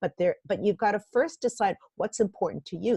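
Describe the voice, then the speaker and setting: In a dry, close sound with no echo, a woman with a dark, mellow tone and a somewhat breathy voice speaks at a fairly quick pace. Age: 60s. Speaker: executive coach and author. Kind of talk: interview.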